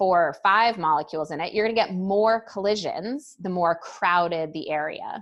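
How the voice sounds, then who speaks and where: At a moderate pace and medium pitch, a woman talks in an unremarkable speaking voice with ordinary pitch variation against a quiet background. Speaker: high school chemistry teacher. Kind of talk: lecture. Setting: recorded class session. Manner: casual.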